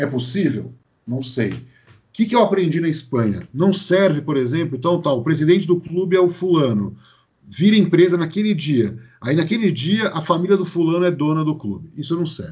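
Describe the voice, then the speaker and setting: Speaking with a São Paulo accent, a man uses a fairly high pitch with vocal fry, lively intonation and a moderate pace. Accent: São Paulo Brazilian Portuguese. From Brazil, São Paulo. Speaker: sports marketing consultant. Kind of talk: podcast interview.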